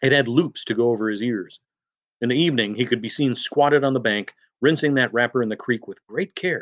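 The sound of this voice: In quiet surroundings, an unforced reading voice carries ordinary pitch variation.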